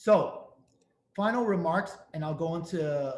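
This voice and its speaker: This voice carries a strong New York accent. Its pitch varies in an ordinary way. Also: man. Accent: thick New York. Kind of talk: webinar presentation.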